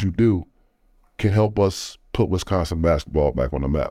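This man has a dark, mellow tone, a fairly low pitch, and a fairly quick pace. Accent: American. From Chicago, Illinois. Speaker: former pro basketball player and coach. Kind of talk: interview.

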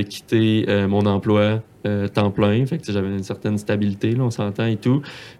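A man talks at a moderate pace and a medium pitch. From Quebec, Saguenay. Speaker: accountant and Excel content creator. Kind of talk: casual interview. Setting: studio.

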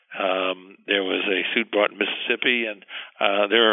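A man speaks in a monotone, flat way at a fairly low pitch. Noticeable background noise is present. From Cuba. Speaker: lawyer. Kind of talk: interview discussion.

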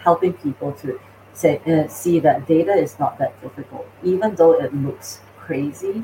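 This woman has a very deep, low pitch. She talks at a moderate pace with lively intonation. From Singapore. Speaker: AI company founder and CEO. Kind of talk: interview.

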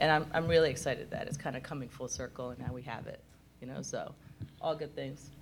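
Talking at a very fast pace, a woman swings widely in loudness amid audible room echo. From Japan. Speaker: special effects artist. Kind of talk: convention panel discussion.

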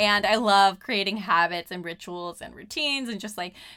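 A woman with a Californian accent speaks at a moderate pace, her medium-pitched voice bright and sharp on a very clean recording with a silent background. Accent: Californian American English. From Southern California. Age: 30s. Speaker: podcast host and life coach. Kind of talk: casual solo monologue.

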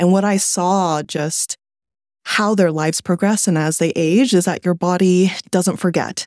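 A woman with an American accent speaks at a fairly slow pace in a medium pitch, her dry, close sound carrying no echo on a very clean recording with a silent background. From California. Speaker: company founder and CEO. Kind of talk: interview.

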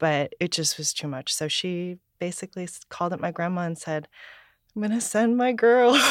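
A woman with an American accent and a plain, everyday voice speaks at a moderate pace with a fairly low pitch and lively intonation, on a very clean recording with a silent background and a dry, close sound with no echo. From United States, with childhood summers in Taiwan. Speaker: labor organizer, head of domestic workers alliance. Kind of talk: interview.

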